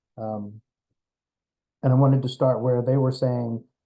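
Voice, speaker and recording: A man's medium-pitched voice comes through with music playing in the background. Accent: American. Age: 60s. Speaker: discussion group organizer. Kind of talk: casual discussion. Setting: video call. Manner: hesitant, many fillers.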